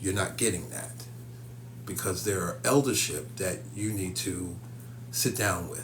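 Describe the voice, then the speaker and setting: A man with a very deep, low pitch speaks fairly slowly in an animated tone, his pitch swinging very widely. Long, frequent pauses break up his speech, and room echo is audible. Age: 50s. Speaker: psychic medium and spiritual teacher. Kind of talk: live stream talk to viewers. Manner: animated, repetitive.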